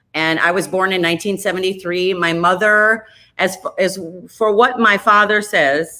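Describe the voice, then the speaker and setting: A woman speaks with an Upper Midwest US accent at a moderate pace. Her medium-pitched voice has a bright, sharp tone and fairly even intonation. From Minnesota, Minneapolis area. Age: 40s. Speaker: radio host. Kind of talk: casual chat.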